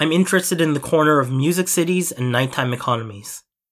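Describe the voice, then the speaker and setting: A man speaks in a plain, everyday voice with a Canadian accent at a moderate pace. His pitch variation is ordinary, and the recording is very clean with a silent background. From Toronto, Canada (Filipino immigrant). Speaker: podcaster. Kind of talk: personal monologue.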